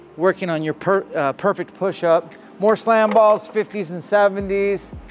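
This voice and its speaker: With music in the background, a man talks at a moderate pace in a high pitch and fairly even intonation. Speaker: fitness coach. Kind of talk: casual tour commentary. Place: gym. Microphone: lapel.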